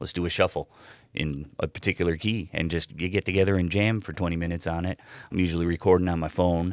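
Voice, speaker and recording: A man with a Midwestern American accent, very deep, low pitch, flat monotone intonation and a very fast pace, in a dry, close sound with no echo on a very clean recording with a silent background. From Cleveland area, Ohio. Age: 40s. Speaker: rock guitarist. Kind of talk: casual chat.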